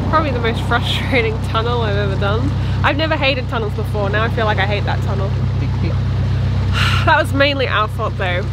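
Despite loud background noise, the woman's voice is dry with no echo as she speaks at a fairly quick pace. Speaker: boating vlogger. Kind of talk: casual vlog chat. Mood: rueful, amused. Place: boat. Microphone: phone near.

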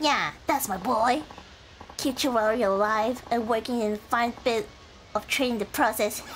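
A female-sounding, put-on character voice, squeaky and fairly high-pitched. It moves at a moderate pace over clear background noise.

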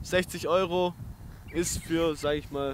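Slow and fairly bright in tone, a man speaks with a fairly high pitch.

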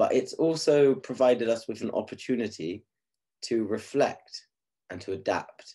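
Against a quiet background, a man talks in an English accent. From England. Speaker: teacher. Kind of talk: conference presentation. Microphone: webcam.

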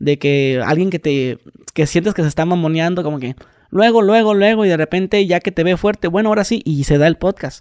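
In a dry, close recording with no echo, a man with a Mexican accent talks at a fairly quick pace, his high pitch varying in an ordinary way. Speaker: podcast host / youtuber. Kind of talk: casual chat.

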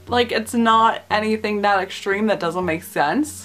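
Faint music sits in the background while a woman speaks at a fairly slow pace. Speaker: film reviewer. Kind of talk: casual vlog commentary. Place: home room. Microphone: webcam.

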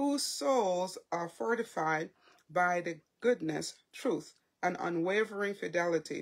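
A woman speaks in a fairly low pitch with lively intonation. Her pace is very slow, and the background is quiet. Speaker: faith vlogger. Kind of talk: casual devotional talk. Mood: warm, animated. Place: home room. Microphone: phone near.

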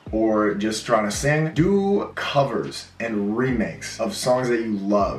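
A man speaks with ordinary pitch variation amid audible room echo and light background noise. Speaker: music creator. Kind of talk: casual vlog Q&A. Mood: cheerful, grateful. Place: home room.

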